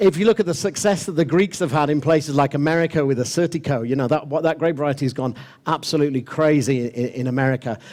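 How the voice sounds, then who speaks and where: Speaking very fast, a man uses a fairly high pitch with ordinary pitch variation. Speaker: wine expert leading a master class. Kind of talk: tasting master class talk to audience. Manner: hesitant with fillers.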